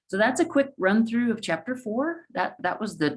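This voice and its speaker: A woman's voice with vocal fry. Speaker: math professor. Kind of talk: lecture.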